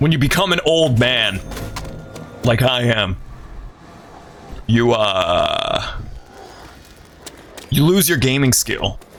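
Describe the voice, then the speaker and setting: A man talks at a very slow pace and a medium pitch, with lively intonation, very even loudness and long, frequent pauses. Noticeable background noise and audible room echo come through. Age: 30s. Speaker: video game streamer. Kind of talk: casual live-stream gaming commentary. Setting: live stream. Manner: animated.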